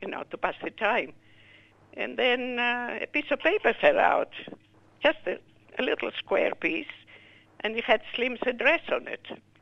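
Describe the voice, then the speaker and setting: The speaker talks at a fairly slow pace. A Greek accent is clear. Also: woman. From Greece. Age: 80s+. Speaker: war survivor and widow. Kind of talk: interview testimony.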